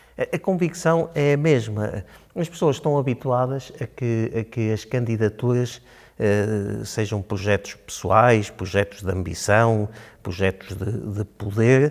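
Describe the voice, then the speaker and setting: Lively in intonation, a man speaks at a fairly slow pace and medium pitch. The recording is very clean, with a silent background. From Portugal, Chaves (Trás-os-Montes). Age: 60s. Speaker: local election candidate, physician. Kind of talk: interview. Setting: studio. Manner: hesitant, with filler sounds.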